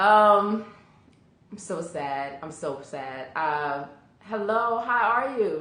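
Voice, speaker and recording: Very wide pitch swings at a very slow pace with long, frequent pauses and audible room echo. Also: woman, medium pitch for a woman. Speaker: live video host. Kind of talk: live stream chat with viewers. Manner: halting, many fillers.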